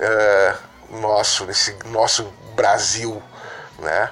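A man speaks over noticeable background noise. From southern Brazil, Rio Grande do Sul. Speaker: film producer. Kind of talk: interview.

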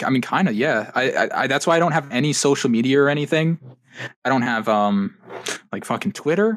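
Speaking at a fairly quick pace, a man with an ordinary speaking voice uses lively intonation and a fairly high pitch. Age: 20s. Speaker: podcast guest, gamer and computer hobbyist. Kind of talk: casual chat.

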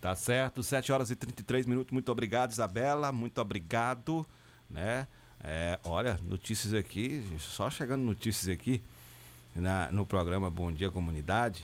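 On a very clean recording with a silent background, a man with a normal speaking voice talks at a moderate pace and fairly low pitch with lively intonation. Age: 40s. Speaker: radio host. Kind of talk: news reading and interview.

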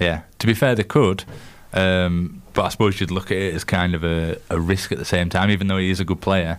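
A man with a Yorkshire accent speaks at a fairly quick pace. His pitch is very deep and low, and his intonation fairly even. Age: 20s. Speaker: radio co-host. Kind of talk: casual chat. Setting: studio.

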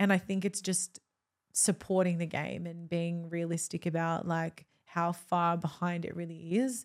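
In a very clean recording with a silent background, a woman with an Australian accent speaks in a fairly low pitch with monotone, flat intonation. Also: fairly slow pace. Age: 20s. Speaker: sports presenter and podcaster. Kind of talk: casual chat.

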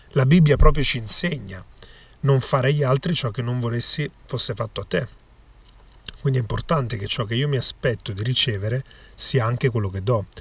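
A man with a somewhat breathy, medium-pitched voice and ordinary pitch variation talks at a fairly quick pace, broken by long, frequent pauses. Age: 20s. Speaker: magician and podcaster. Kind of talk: motivational monologue.

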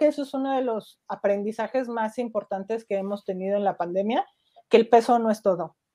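A woman's dark, mellow tone in a Mexican accent against a quiet background. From Mexico. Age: 40s. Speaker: nutritionist. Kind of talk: interview. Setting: live stream.

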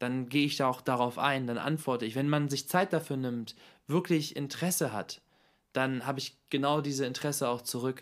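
Over a silent background on a very clean recording, a man speaks in a plain, everyday voice. His fairly high pitch stays fairly even in intonation at a fairly quick pace. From Hannover, northern Germany. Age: 20s. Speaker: model and philosophy student. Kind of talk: casual chat.

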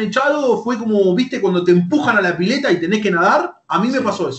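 Very fast, high-pitched speech from a man with an Argentine accent and lively intonation. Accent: Rioplatense Argentine Spanish. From Argentina, Lanús (Buenos Aires). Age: 30s. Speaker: YouTuber and esports team manager. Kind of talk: interview.

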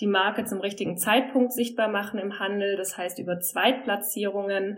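A woman's medium-pitched voice at a moderate pace. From southern Germany. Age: 30s. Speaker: brand manager. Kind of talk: interview.

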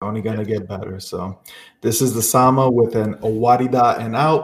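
Somewhat breathy, a man speaks at medium pitch and a fairly slow pace. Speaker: podcast host. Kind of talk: casual chat.

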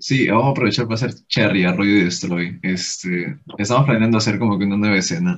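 This is a plain, everyday voice. The intonation is lively. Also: man. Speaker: punk band vocalist. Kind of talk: casual interview.

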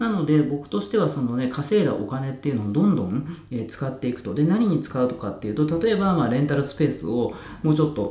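Amid noticeable background noise and audible room echo, a man rattles along at a very fast pace with hardly any pauses, his fairly high voice making very wide pitch swings. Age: 30s. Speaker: online community runner and YouTuber. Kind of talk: solo podcast talk. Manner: casual with many fillers.

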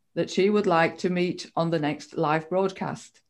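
A woman speaks fairly slowly at medium pitch with ordinary pitch variation, on a very clean recording with a silent background. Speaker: co-host. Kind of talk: hosted live interview. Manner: halting.

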